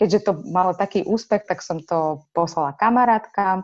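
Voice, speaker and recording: A woman has an ordinary speaking voice, fairly low in pitch, with ordinary pitch variation at a moderate pace. The background is quiet. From Ukraine. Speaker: children's book author. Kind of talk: interview.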